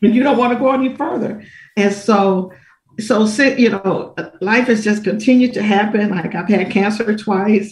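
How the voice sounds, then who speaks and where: This woman has an unremarkable speaking voice, fairly high in pitch. She keeps a moderate pace and her intonation stays fairly even. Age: 60s. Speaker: minister. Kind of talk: testimony.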